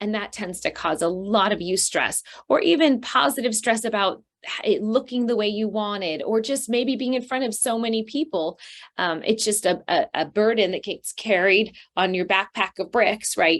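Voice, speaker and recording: An animated tone in an American accent, at a moderate pace, with ordinary pitch variation. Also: woman, fairly high pitch for a woman. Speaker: counselor and trauma therapist. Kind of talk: webinar presentation.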